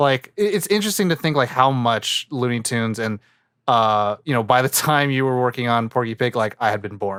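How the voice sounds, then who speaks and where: In a very clean, dry, close recording with a silent background and no echo, a man with a normal speaking voice talks at a medium pitch with lively intonation. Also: fairly quick pace. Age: young. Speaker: podcast host. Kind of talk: casual chat.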